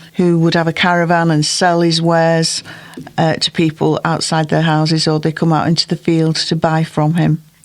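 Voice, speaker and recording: Over noticeable background noise, a woman with fairly low pitch talks at a moderate pace in a monotone, flat intonation with very even loudness. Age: 70s. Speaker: poetry reader. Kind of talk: reading aloud. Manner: clear, comfortable pace.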